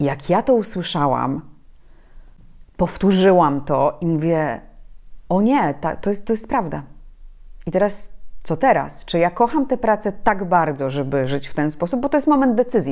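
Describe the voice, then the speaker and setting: A woman talks at a moderate pace in a medium pitch, with very wide pitch swings. The background is quiet. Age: 30s. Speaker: journalist and public speaking trainer; journalist, public speaking trainer. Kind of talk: interview. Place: home room. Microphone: lapel.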